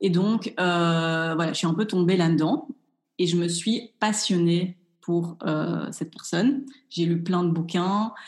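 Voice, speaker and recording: Very slow, somewhat breathy female voice at a fairly low pitch with ordinary pitch variation. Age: 30s. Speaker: chef and cooking instructor. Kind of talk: interview.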